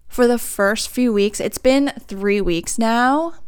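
A woman's fairly high voice with a clear, smooth tone and ordinary pitch variation, on a very clean recording with a silent background.

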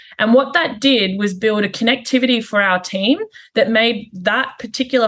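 A woman with an Australian accent speaks at a moderate pace, her fairly high pitch showing ordinary variation. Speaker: HR and operations executive. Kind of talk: interview. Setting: call.

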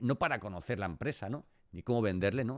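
A man's fairly low voice at a fairly quick pace, with ordinary pitch variation, on a very clean recording over a silent background. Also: dry, close sound with no echo. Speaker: podcast host. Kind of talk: interview.

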